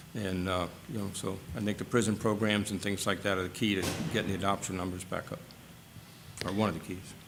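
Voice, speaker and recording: Over music in the background, a man with a fairly low pitch speaks at a very fast pace in a monotone, flat delivery broken by long, frequent pauses. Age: 60s. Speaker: advisory board member. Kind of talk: public meeting discussion. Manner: halting.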